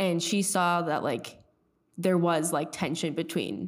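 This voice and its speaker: Vocal fry colors a voice with an American accent and lively intonation. The recording is very clean, with a silent background. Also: woman. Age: young. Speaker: podcast co-host, college student. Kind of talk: casual chat. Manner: halting.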